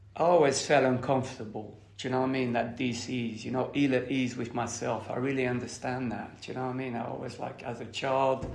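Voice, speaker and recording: Amid noticeable background noise and audible room echo, a man at a medium pitch talks at a fairly quick pace with hardly any pauses and monotone, flat intonation. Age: 60s. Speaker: recovering addict sharing at a meeting. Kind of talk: testimony. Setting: recovery meeting, recorded. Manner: hesitant, filler-heavy.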